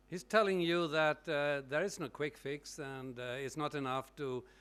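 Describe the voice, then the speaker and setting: A man speaks in a non-native accent at a fairly high pitch, with ordinary pitch variation. The recording is very clean, with a silent background. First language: not English. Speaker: session chair. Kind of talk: moderating a conference session.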